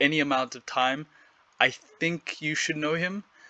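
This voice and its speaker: With a South African accent, a man speaks at a moderate pace in a fairly high pitch, his tone bright and sharp, the sound dry and close with no echo. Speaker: gaming YouTuber. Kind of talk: monologue recap of an interview. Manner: casual with fillers.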